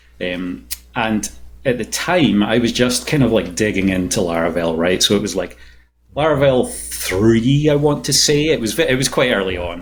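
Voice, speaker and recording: In a Scottish accent, the voice has vocal fry and lively intonation at a moderate pace. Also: man, medium pitch for a man. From Scotland. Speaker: software engineering manager and startup co-founder. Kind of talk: podcast interview. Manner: hesitant, many fillers and repeats.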